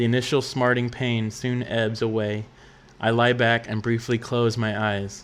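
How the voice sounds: The clip carries a natural reading voice throughout.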